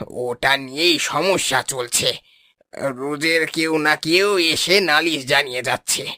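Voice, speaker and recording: In a cartoonish character voice, a man speaks at a very slow pace with a fairly high pitch. His loudness stays very even. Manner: genial, patient.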